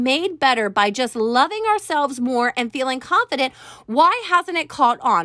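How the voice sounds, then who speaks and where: A woman at a fairly slow pace with very wide pitch swings, in a very clean recording with a silent background. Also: dry, close sound with no echo. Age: 40s. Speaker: podcast host and life coach. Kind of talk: solo podcast monologue. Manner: conversational, partly reading from notes.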